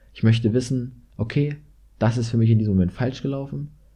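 A man's dark, mellow, somewhat breathy voice at a medium pitch, against a quiet background. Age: 20s. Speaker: university student and podcaster. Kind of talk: solo monologue podcast.

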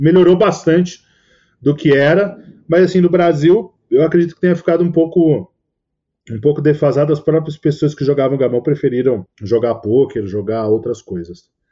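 In a normal speaking voice, a man at a fairly high pitch talks at a moderate pace with lively intonation. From Brazil. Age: 40s. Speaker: poker commentator. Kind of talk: casual interview chat.

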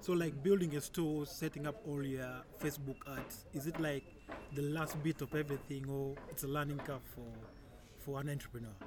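Somewhat breathy and fairly high-pitched, a man speaks at a moderate pace with fairly even intonation. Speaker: podcast host. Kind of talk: interview.

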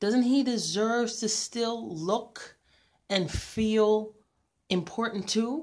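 Very slowly, a woman at a medium pitch talks with vocal fry. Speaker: podcast host. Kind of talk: solo commentary monologue.

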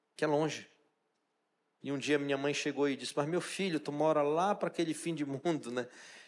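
A man with a fairly high pitch talks at a fairly quick pace, keeping his intonation fairly even. He takes long, frequent pauses, and the recording is very clean with a silent background. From Brazil, Pará (Amazon riverside, Santarém region). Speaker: chef and restaurant owner. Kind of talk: talk to a church audience.

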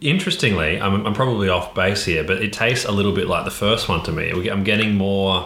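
A fairly low-pitched man with an Australian accent, a fairly quick pace, hardly any pauses, ordinary pitch variation and very even loudness, amid noticeable background noise and audible room echo. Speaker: podcast co-host. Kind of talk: casual chat.

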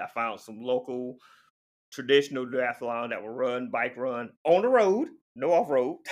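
Against a quiet background, a man with an unremarkable speaking voice talks at medium pitch and a moderate pace. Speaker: endurance athlete. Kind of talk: interview conversation.

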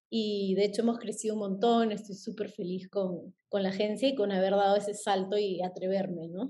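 A woman's somewhat breathy voice in a monotone, flat intonation, with hardly any pauses. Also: medium pitch for a woman, moderate pace. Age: 30s. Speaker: influencer marketing agency head. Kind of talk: podcast interview.

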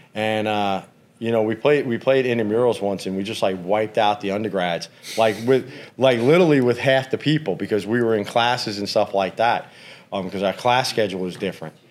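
A fairly quick male voice pitched fairly low, an ordinary speaking voice with ordinary pitch variation. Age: 50s. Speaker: professional trader. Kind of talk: casual chat.

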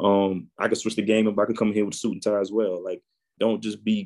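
With a New Orleans accent, a man speaks at a fairly low pitch. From New Orleans, Louisiana. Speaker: IT entrepreneur and podcaster. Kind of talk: interview.

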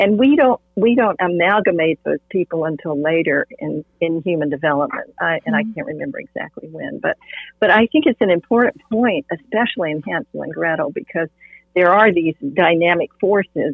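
A woman's fairly low voice at a fairly quick pace, an ordinary speaking voice. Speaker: art therapist, host's mother. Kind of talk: casual interview discussion. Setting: virtual recording.

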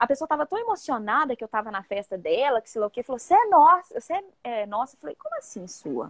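A woman talks very fast at a high pitch, her voice swinging very widely in pitch and loudness. The sound is dry and close, with no echo. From Minas Gerais, Brazil (Viçosa). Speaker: singer-songwriter. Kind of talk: casual chat.

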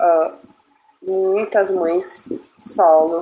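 The woman speaks at a medium pitch, her intonation fairly even. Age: 30s. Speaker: single mother, childcare worker. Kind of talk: personal testimony on radio.

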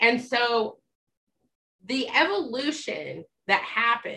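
Her tone bright and sharp, a woman talks with an American accent. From Utah. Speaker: life coach. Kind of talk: casual chat.

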